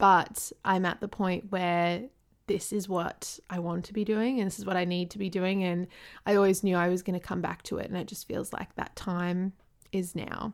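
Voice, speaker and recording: A woman talks with an Australian accent and fairly even intonation. Her recording is very clean, with a silent background. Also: medium pitch for a woman, moderate pace. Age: 20s. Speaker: podcast host and lifestyle blogger. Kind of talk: casual monologue.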